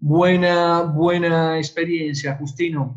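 Over a quiet background, a man talks in a fairly high pitch with fairly even intonation. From Argentina. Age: 50s. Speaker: online education lecturer. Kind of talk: webinar lecture with Q&A. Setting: online webinar broadcast. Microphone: webcam.

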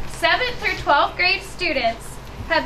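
A woman's raised, projected voice in an American accent, at a moderate pace, with noticeable background noise. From US Midwest. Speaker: prevention specialist. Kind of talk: public speech. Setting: outdoors. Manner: animated. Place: garage. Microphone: camera far.

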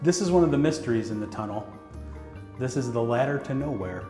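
Faint music plays in the background as a man speaks with audible room echo. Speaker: monument guide. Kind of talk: interview answer. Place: tunnel cave. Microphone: lapel.

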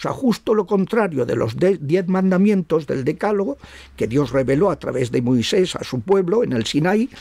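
Over a quiet background, a man with a high pitch, very wide pitch swings and a dark, mellow tone talks at a moderate pace, the sound dry with no echo. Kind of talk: interview on religious topics. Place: home room. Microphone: studio mic.

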